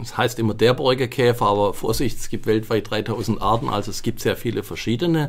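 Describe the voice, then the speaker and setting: In a slight Swabian accent, the speaker goes at a fairly quick pace with ordinary pitch variation, over a very clean recording with a silent background. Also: man. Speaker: forest scientist. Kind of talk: podcast interview.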